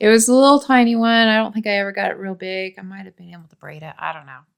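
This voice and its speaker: With a Utah accent, a woman talks at a very fast pace and fairly high pitch, showing ordinary pitch variation and big swings in loudness on a very clean recording with a silent background. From Utah, US.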